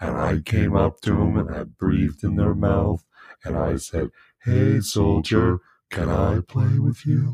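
In a put-on character voice, a man growls out menacing lines in a very deep, low pitch with very wide pitch swings. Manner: creepy, menacing.

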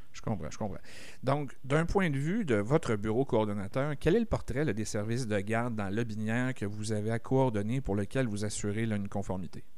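Audible room echo surrounds a man speaking at a moderate pace in a medium pitch with ordinary pitch variation. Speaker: community radio host. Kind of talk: radio interview.

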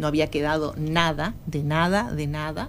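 Audible room echo surrounds a woman speaking in a very deep, low pitch with monotone, flat intonation. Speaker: anti-discrimination official. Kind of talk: radio interview.

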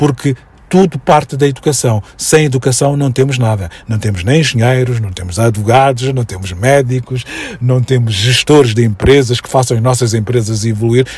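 A somewhat breathy man at a medium pitch speaks with ordinary pitch variation. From Mozambique (Maputo, Mafalala). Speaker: educator and commentator. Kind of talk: radio interview.

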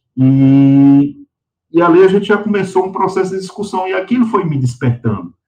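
A man speaks at a moderate pace with a high pitch for a man. His tone is dark and mellow, and his intonation is lively. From Patos, sertão of Paraíba, Brazil. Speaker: lawyer and environmentalist. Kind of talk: interview.

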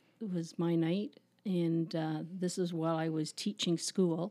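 Fairly slow speech from a woman with a Canadian accent, her tone dark and mellow, her intonation fairly even. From Canada, Toronto suburbs. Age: 60s. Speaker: administrative assistant at a youth ministry. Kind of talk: interview, personal testimony.

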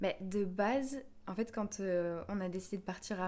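This woman has an unremarkable speaking voice at medium pitch. Her pitch varies in an ordinary way. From France, Bordeaux. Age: 20s. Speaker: yoga teacher and singer. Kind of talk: casual chat.

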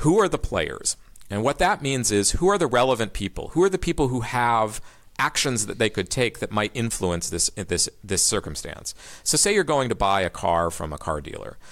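A man speaks at a moderate pace in a medium-pitched voice with vocal fry and very wide swings in pitch, on a very clean recording with a silent background. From Kansas, US. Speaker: philosophy professor, game theorist. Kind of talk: interview conversation. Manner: hesitant with fillers and repetitions.

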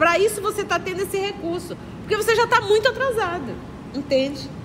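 A woman with an extremely high pitch speaks with lively intonation over noticeable background noise. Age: 50s. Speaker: spiritist study leader. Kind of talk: religious study lecture. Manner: conversational, addresses audience directly.

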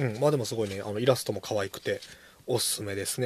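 A man talks at a very fast pace in a somewhat breathy voice with ordinary pitch variation. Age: 30s. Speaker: podcast host, bookshop owner. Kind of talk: casual chat.

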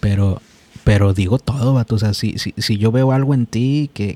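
A man with an unremarkable speaking voice talks at a moderate pace and medium pitch with fairly even intonation, in a dry, close sound with no echo. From Mexico. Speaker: podcast host. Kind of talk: casual chat.

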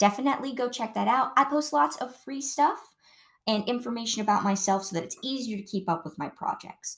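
A woman talks at a fairly high pitch and a fairly quick pace, her intonation lively and her voice showing vocal fry. The recording is very clean, with a silent background. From Ohio, US Midwest. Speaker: podcast host. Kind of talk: casual chat.

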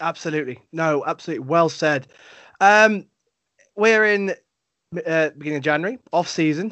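With an English accent, the speaker keeps a moderate pace and ordinary pitch variation, broken by long, frequent pauses. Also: man, high pitch for a man. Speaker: sports podcast host. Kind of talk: casual interview chat.

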